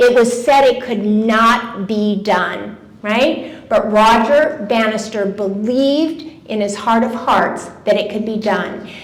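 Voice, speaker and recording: A woman speaks very slowly in a fairly high voice with ordinary pitch variation. Noticeable background noise runs underneath. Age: 70s. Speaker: wellness speaker. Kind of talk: talk to a live audience. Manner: conversational.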